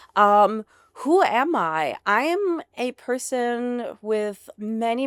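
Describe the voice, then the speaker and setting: A woman with a slight German accent at a very slow pace, on a very clean recording with a silent background and a dry, close sound with no echo. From Germany. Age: 40s. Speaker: founder of an alcohol-free bar. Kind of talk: casual interview. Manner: animated.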